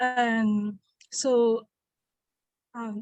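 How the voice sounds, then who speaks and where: Dry and close with no echo, this voice with a French accent keeps a fairly even intonation. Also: woman. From Ivory Coast. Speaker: immigrant panelist. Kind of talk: self-introduction in forum.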